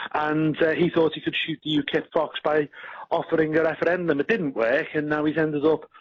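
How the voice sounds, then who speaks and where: Speaking very fast with a Liverpool accent, a man uses a fairly high pitch. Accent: Scouse. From northern England, Liverpool. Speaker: party politician. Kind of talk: radio interview.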